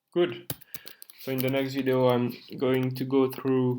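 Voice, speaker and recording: The speaker has a strong French accent. The pace is fairly slow. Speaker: programming tutorial youtuber. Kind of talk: screen-recorded coding tutorial. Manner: halting, with fillers.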